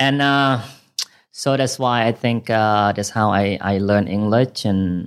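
A man with a Thai accent, fairly low in pitch, at a fairly slow pace with ordinary pitch variation. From northern Thailand, Phayao and Chiang Rai. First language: Iu Mien, then Thai. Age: 30s. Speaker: party promoter. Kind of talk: casual chat. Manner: halting.

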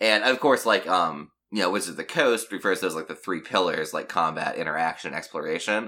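Speaking at a fairly quick pace with hardly any pauses, a man has a normal speaking voice, fairly low in pitch, with lively intonation. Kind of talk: casual chat.

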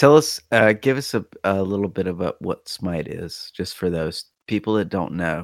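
Speaking at a moderate pace with hardly any pauses, a man with a very deep, low voice comes through dry and close, with no echo. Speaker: podcast co-host. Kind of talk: casual chat.

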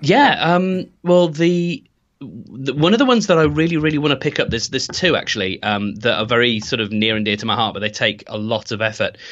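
Speaking with a Birmingham accent, a man with a medium-pitched voice moves at a fairly quick pace with hardly any pauses and very wide pitch swings. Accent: Birmingham English (Brummie). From Birmingham, England. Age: 30s. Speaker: web developer and podcast hosting founder. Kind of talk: interview.

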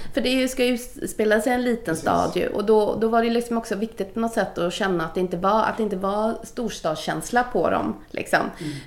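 Against noticeable background noise, a woman with a fairly high voice talks at a fairly quick pace with hardly any pauses and ordinary pitch variation. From Gothenburg, Sweden (Majorna). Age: 40s. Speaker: casting director. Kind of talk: casual interview. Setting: office.

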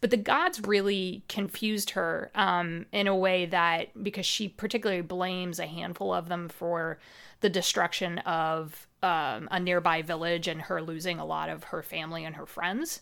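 Fairly low in pitch with vocal fry, a woman with a Midwestern American accent talks at a moderate pace with fairly even intonation and hardly any pauses, on a very clean recording with a silent background. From US Midwest. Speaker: Dungeon Master and podcast host. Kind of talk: casual interview chat.

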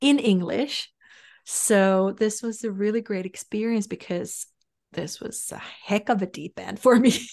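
The speaker has a Finnish accent and talks at a fairly slow pace with ordinary pitch variation. Loudness swings widely against a quiet background. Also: woman, medium pitch for a woman. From Finland. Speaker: sales coach and advisor. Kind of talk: casual interview chat.

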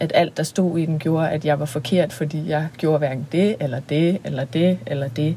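A woman speaks in a fairly low, somewhat breathy voice with a dark, mellow tone. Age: 30s. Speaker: podcast co-host, singer and sexologist. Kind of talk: casual chat. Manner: hesitant, many fillers.

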